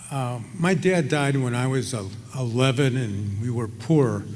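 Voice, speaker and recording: The speaker talks very slowly in an American accent, somewhat breathy. Pitch varies in an ordinary way, and the room echo is audible. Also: man. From Chicago, US Midwest. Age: 70s. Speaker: retired surgeon, hall of fame inductee. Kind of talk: acceptance speech. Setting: ballroom stage with audience. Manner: hesitant, many fillers.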